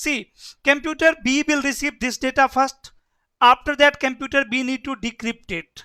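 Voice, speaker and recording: A raised, projected voice with a bright, sharp tone and fairly even intonation, in a very clean recording over a silent background. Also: man, extremely high pitch for a man, moderate pace, dry, close sound with no echo. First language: Hindi. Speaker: networking instructor. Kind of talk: lecture.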